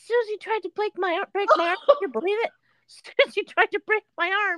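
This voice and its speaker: In a put-on character voice, a woman speaks at an extremely high pitch and a moderate pace with ordinary pitch variation. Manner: crying out loudly, complaining.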